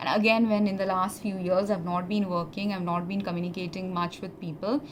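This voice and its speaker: Over noticeable background noise and audible room echo, a woman speaks at a fairly quick pace with a medium pitch and fairly even intonation. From India. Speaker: former pharmacist. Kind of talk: personal testimony monologue. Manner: halting, many fillers.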